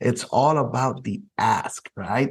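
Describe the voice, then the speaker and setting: A man with a Spanish accent speaks at a medium pitch. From Puerto Rico. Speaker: podcast host and insurance keynote speaker. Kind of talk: interview.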